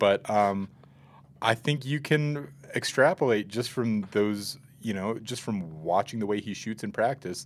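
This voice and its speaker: In a plain, everyday voice, a man speaks at a fairly slow pace with ordinary pitch variation. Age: 40s. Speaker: sports beat writer and podcast co-host. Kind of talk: casual sports chat.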